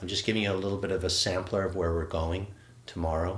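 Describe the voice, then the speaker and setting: A man's very deep, low, somewhat breathy voice at a fairly quick pace, with audible room echo. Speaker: qigong instructor. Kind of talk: live online movement class. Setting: livestream. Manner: fast; animated.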